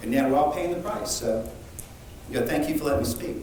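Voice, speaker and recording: Recorded with audible room echo and noticeable background noise, a man is speaking. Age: 50s. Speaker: musician speaking at public comment. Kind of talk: public comment at council meeting. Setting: city council meeting.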